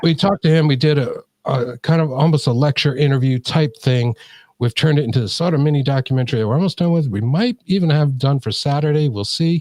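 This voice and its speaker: Very fast and somewhat breathy, a man speaks at a fairly high pitch with ordinary pitch variation and a dry, close sound with no echo. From New England. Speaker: paranormal podcaster. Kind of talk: casual chat. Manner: halting, many fillers.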